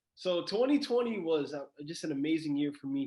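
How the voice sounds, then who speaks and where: Talking at a fairly quick pace, a man keeps his pitch variation ordinary. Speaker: college student and real estate wholesaler. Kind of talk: interview. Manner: fast.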